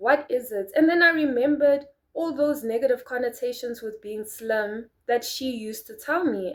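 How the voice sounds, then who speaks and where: Recorded very cleanly against a silent background, a woman speaks at a moderate pace with ordinary pitch variation. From South Africa. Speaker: lifestyle vlogger. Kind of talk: casual chat. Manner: soft-spoken; animated.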